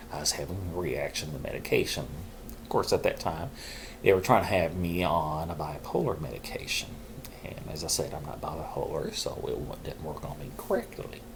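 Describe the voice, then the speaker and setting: A man talks at a fairly quick clip, his loudness swinging widely, with noticeable background noise and audible room echo. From Arkansas. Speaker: mental health vlogger. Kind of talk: casual talk to camera.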